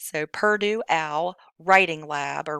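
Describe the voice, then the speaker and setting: In a very clean recording with a silent background and a dry, close sound with no echo, a woman speaks at a fairly low pitch with fairly even intonation. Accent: West Virginia. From West Virginia. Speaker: high school English teacher. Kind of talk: tutorial. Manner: casual, filler-heavy.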